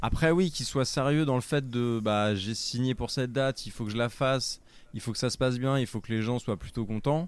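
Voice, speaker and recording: Recorded very cleanly against a silent background, a man talks at a fairly quick pace with a medium pitch and ordinary pitch variation. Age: 30s. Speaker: podcaster, music anecdote show. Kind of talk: casual chat. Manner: halting.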